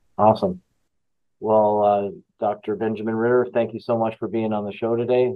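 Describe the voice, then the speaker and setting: With fairly even intonation, a man of medium pitch speaks at a moderate pace. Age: 60s. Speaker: podcast host. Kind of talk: interview conversation; scripted introduction. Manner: halting, many fillers.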